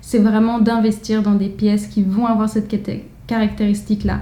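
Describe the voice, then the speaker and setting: A dark, mellow voice speaks at a moderate pace with flat, monotone intonation and a somewhat breathy quality. Room echo is audible. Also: woman. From France. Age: 20s. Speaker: fashion vlogger. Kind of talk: casual vlog.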